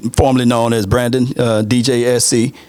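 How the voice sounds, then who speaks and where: Moderate pace and medium pitch from a man, against noticeable background noise. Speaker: sports content creator. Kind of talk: podcast interview. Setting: studio.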